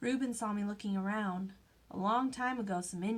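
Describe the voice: Plain reading aloud, pitch shifting in an ordinary way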